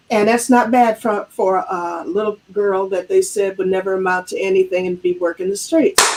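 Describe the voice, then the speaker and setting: A woman's normal speaking voice, at a moderate pace with hardly any pauses and ordinary pitch variation. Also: medium pitch for a woman. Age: 60s. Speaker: business coach. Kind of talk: interview.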